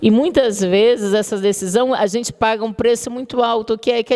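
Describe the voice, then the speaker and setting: Against noticeable background noise, a woman speaks with a São Luís accent at a fairly high pitch and with fairly even intonation. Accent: São Luís (Maranhão). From Brazil, São Luís do Maranhão. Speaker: communication professor. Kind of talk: lecture. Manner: conversational, addresses audience directly.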